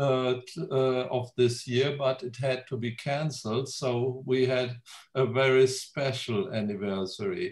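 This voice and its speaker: A man with a German accent talks at a fairly slow pace in a somewhat breathy voice, with medium pitch and ordinary pitch variation. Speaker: genealogy society president. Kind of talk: welcome speech. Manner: halting.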